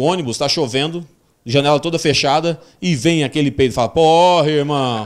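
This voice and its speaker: Here a man talks at a fairly quick pace. His tone is animated. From Cuiabá, Brazil. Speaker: stand-up comedian. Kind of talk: stand-up comedy. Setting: stage with audience. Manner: animated, raunchy, punchy delivery; acts out characters with exaggerated voices. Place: stage. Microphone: handheld.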